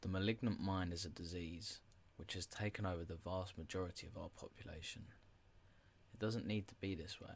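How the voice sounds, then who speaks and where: A man's very deep, low voice, soft-spoken and somewhat breathy, with fairly even intonation and big swings in loudness. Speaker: podcast host. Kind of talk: reading aloud. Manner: slow.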